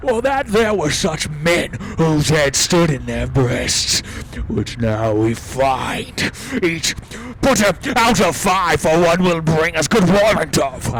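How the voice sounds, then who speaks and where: A man performs a put-on character voice at a fairly high pitch. He speaks at a fairly slow pace over clear background noise. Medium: stage play. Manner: earnest, courtly.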